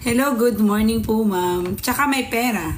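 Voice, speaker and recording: The speaker has an animated tone. Light background noise can be heard. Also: woman. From Philippines. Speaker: livestreamer. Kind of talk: casual livestream chat reading comments. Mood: playful, teasing. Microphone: phone near.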